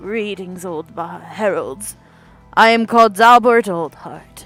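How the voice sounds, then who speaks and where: Faint music plays in the background as a female-sounding put-on character voice speaks at a medium pitch and a fairly slow pace. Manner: formal, solemn.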